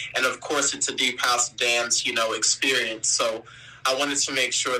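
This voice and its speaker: A man keeps a moderate speed as music plays in the background. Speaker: R&B singer. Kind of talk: interview.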